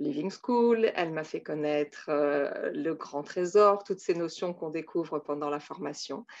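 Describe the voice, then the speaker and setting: Against a quiet background, a woman with a very deep, low pitch speaks at a very slow pace with ordinary pitch variation. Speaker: Montessori teacher. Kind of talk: testimony. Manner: hesitant, many filler sounds.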